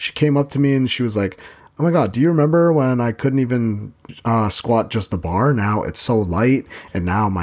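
Lively intonation marks a man's medium-pitched voice at a moderate pace. It is an unremarkable speaking voice. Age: 30s. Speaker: fitness podcast host and trainer. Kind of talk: casual solo podcast monologue.

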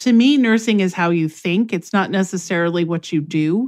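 A woman speaks in an ordinary speaking voice, medium-pitched with ordinary pitch variation. The background is quiet. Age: 50s. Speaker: nursing instructor. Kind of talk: interview.

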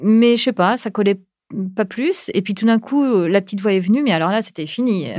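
On a very clean recording with a silent background, a woman talks at a medium pitch and moderate pace with ordinary pitch variation. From France. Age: 40s. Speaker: podcaster, breast cancer survivor. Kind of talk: interview. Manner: hesitant, many fillers.

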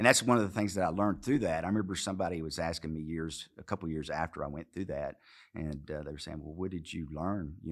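Very fast and very deep, a man talks with a slight Arkansas accent and ordinary pitch variation. The recording is very clean, with a silent background. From Arkansas, US South. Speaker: former Marine, businessman. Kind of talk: interview.

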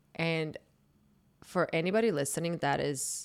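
In a very clean recording with a silent background, a woman speaks at a fairly slow pace in a very deep, low pitch. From Croatia, Zagreb. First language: Croatian. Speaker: dating podcaster. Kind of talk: casual chat.

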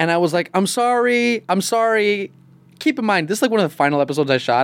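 A man's very fast, animated delivery full of lively intonation. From upstate New York. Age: 30s. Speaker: actor. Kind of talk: casual chat. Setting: studio.

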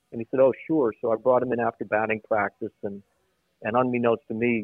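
A man's medium-pitched voice runs fairly quickly, keeping its intonation fairly even. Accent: American. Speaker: former baseball general manager. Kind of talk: casual interview. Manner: halting, repeats words.

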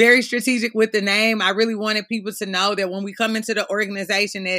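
A woman with an American accent talks at a very fast pace. Her tone is bright and sharp, her intonation monotone and flat. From Missouri. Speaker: education consultant. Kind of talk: interview.

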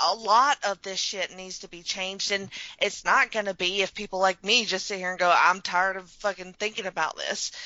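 In a Southern US accent, a woman with a medium pitch speaks at a moderate pace. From Alabama. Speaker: podcast host. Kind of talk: casual chat; scripted introduction.

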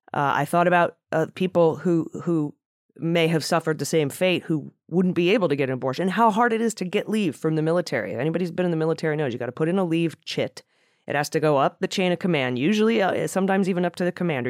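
A woman with an American accent and a fairly low pitch talks at a very fast pace. The very clean recording has a silent background and a dry, close sound with no echo. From US Midwest (Cleveland, Ohio). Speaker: podcast host. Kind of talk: casual news discussion.

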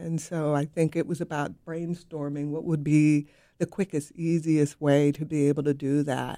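On a very clean recording with a silent background, a woman speaks at a moderate pace. Her very deep, low voice is dark and mellow in tone, with monotone, flat intonation. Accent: American. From US West Coast. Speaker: city public art director. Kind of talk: radio interview.

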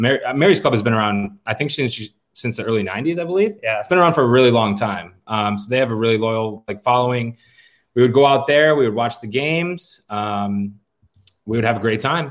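Recorded very cleanly against a silent background, a man with an American accent and an unremarkable speaking voice talks at a fairly quick pace, medium pitch, and ordinary pitch variation. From western New York, Rochester. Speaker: fan club organizer. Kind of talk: casual chat.

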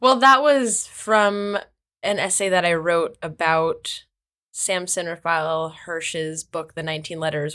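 Recorded very cleanly against a silent background, a woman with an American accent speaks at a fairly slow pace in a fairly low pitch, with a bright, sharp tone and ordinary pitch variation. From US Midwest, Kansas. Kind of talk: casual interview conversation.

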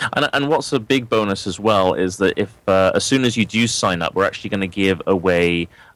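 A man talks at a fairly quick pace in a normal speaking voice with fairly low pitch. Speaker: son, lead pages expert. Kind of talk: podcast outro chat.

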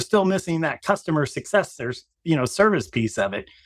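Talking at a very fast pace, a man uses lively intonation. The recording is very clean, with a silent background. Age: 50s. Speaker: marketing executive and company founder. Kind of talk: interview.

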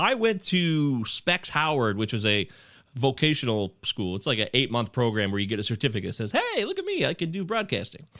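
A man with an American accent speaks at a fairly quick pace in a bright, sharp tone. His pitch swings very widely. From US Midwest, Michigan. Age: 40s. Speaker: fantasy sports podcaster. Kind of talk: casual chat.

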